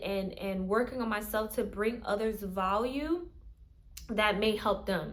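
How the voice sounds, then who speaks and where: Amid audible room echo, a woman speaks fairly slowly in a fairly high pitch with ordinary pitch variation. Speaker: content creator. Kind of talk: casual vlog monologue. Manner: halting, many fillers and restarts; speech difficulties.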